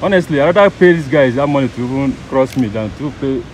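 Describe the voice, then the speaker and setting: A man talks with ordinary pitch variation. The sound is dry with no echo, over light background noise. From Nigeria. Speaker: travel vlogger. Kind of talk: vlog narration; haggling. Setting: outdoors. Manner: animated. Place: waterside. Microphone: phone near.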